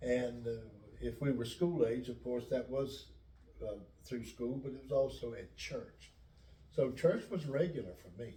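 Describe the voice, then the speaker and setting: A man with an American accent talks at a medium pitch and a fairly slow pace. He leaves long, frequent pauses, and the room has an audible echo. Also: ordinary pitch variation, big swings in loudness. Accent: Lumbee English, southern US. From US South, North Carolina (Robeson County). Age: 70s. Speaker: pastor. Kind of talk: interview. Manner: halting.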